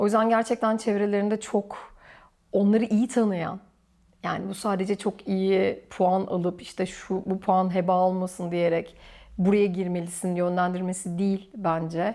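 A woman speaks fairly slowly at medium pitch in a monotone, flat intonation, her tone dark and mellow, on a very clean recording with a silent background. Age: 40s. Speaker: orthodontist. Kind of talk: casual interview chat. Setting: at home, filmed.

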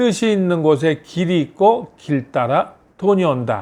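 Over a quiet background, a man speaks at a high pitch with lively intonation. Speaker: business consultant and lecturer. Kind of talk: motivational talk.

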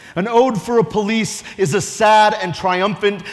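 With music in the background, a man speaks at a moderate pace in a high pitch. His tone is dramatic, with ordinary pitch variation. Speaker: police lieutenant and poet. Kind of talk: spoken-word poetry performance of an original ode to police officers. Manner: dramatic, rhythmic declamation building to rousing exhortation; earnest, emotionally charged delivery with vivid imagery. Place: stage. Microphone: lapel.

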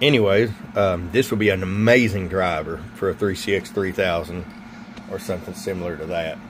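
A man's very deep, low voice with ordinary pitch variation at a moderate pace, noticeable background noise behind it. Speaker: CB radio equipment seller and reviewer. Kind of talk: product review. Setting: workbench. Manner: casual with many fillers. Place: workshop.

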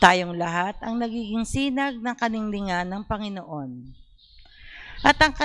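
A woman with an unremarkable speaking voice, medium pitch, lively intonation and a fairly slow pace. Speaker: lector. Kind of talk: scripture reading aloud. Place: church. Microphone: handheld.

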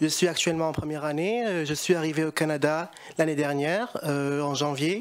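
A man at a fairly high pitch, with ordinary pitch variation and a fairly quick pace

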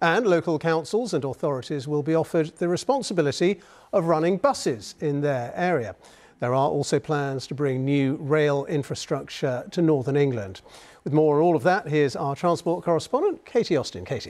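With a British accent, a man talks at a fairly quick pace in a fairly high pitch, his intonation lively. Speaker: news anchor. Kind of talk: news reading. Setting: studio. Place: studio. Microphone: lapel.

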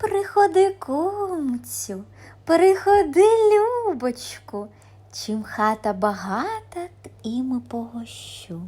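A woman uses a cartoonish character voice, pitched high with very wide pitch swings, at a very slow pace. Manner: sweet, coaxing.

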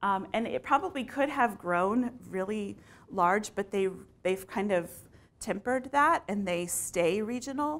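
The speaker, with an American accent, moves at a fairly slow pace with lively intonation. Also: woman. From Texas, San Antonio; Texas. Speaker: marketing communications manager; conference presenter. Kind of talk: conference talk; presentation talk. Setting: stage with audience. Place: classroom. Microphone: lapel.

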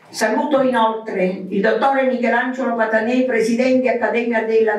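There is audible room echo around the voice. A woman speaks at a fairly high pitch. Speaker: club president. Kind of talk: formal event speech. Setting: stage with audience. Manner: formal. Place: hall.

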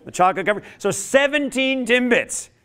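A man's raised, projected voice carries a bright, sharp, animated tone with lively intonation. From Canada. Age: 50s. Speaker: motivational speaker; speaker. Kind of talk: workshop talk. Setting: stage with audience. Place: classroom.

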